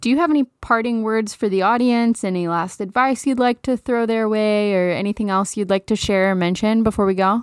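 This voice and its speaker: A woman with an American accent and an unremarkable speaking voice talks at a fairly quick pace and medium pitch, in a very clean recording with a silent background and a dry, close sound with no echo. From Texas (Dallas). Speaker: podcast host and actor. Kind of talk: casual interview.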